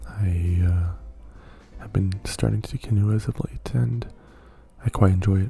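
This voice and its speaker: A man speaks at a fairly slow pace in a very deep, low pitch with very wide pitch swings. Noticeable background noise runs underneath. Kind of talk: asmr whisper ramble, casual talk to mic. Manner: soft-spoken, rambling, with frequent filler words.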